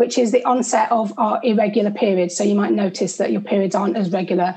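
With a normal speaking voice, a woman talks fairly quickly at a fairly high pitch with ordinary pitch variation. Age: 40s. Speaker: nutritional therapist. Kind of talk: interview.

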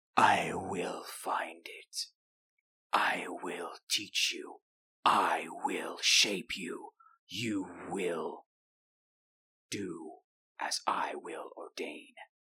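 In a put-on character voice, the speaker growls at a very slow pace with long, frequent pauses. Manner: eerie, commanding.

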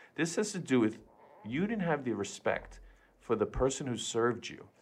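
Ordinary pitch variation marks this man's speech in an American accent. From New York, Queens. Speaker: podcast co-host. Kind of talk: casual chat.

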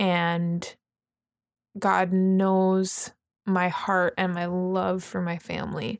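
A woman with a Canadian accent speaks very slowly at a medium pitch, in a monotone, flat delivery. Her long, frequent pauses stand out on a very clean recording with a silent background. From Canada, British Columbia (Vernon). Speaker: church member, stay-at-home mom. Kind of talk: testimony.

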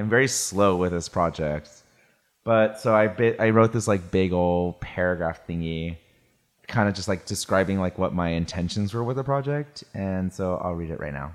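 In a very clean recording with a silent background, a man speaks with a very deep, low pitch and ordinary pitch variation. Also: moderate pace. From California (Salinas). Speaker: photographer. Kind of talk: casual chat.

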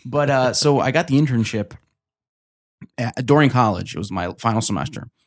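Long, frequent pauses mark the speech of a man with a New Jersey accent. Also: medium pitch for a man, ordinary pitch variation, fairly quick pace. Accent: New Jersey American. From New Jersey, US. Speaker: author and comedian. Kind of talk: casual chat. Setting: studio.

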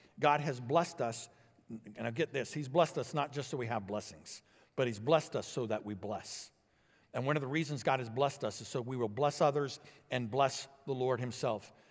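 Here a man with an American accent has a plain, everyday voice at a medium pitch. He speaks at a fairly quick pace with ordinary pitch variation on a very clean recording with a silent background. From Illinois, US Midwest. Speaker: pastor. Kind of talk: sermon. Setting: church.

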